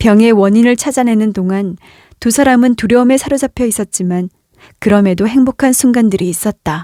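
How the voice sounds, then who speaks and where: With a dark, mellow tone, a woman speaks at a moderate pace and a fairly high pitch, with ordinary pitch variation. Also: dry, close sound with no echo, very clean recording, silent background. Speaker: audiobook narrator / voice actor. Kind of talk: literary short-story narration, calm and emotional.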